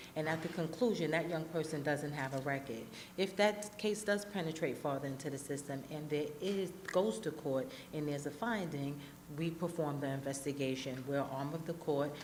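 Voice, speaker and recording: A woman's very deep, low voice with ordinary pitch variation, amid audible room echo and noticeable background noise. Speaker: probation official. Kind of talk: panel discussion. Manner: fast.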